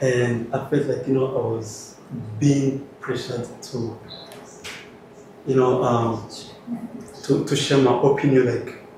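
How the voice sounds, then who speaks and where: With noticeable background noise and audible room echo, a man of medium pitch talks fairly slowly in a monotone, flat way, leaving long, frequent pauses. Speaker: conference participant, student researcher. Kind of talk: group discussion sharing experience. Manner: halting, many repetitions and fillers.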